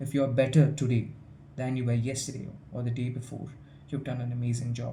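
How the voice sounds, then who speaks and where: A man's medium-pitched, somewhat breathy voice with a dark, mellow tone and audible room echo. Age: young. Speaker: student vlogger. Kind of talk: casual vlog monologue. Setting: hostel room. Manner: halting, with fillers and repetitions.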